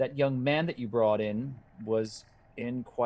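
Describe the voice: Plain reading aloud. The pitch varies in an ordinary way.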